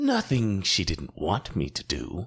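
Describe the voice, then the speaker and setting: Using a put-on character voice, a man speaks at a fairly slow pace and a fairly low pitch. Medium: read story. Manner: cool, unyielding.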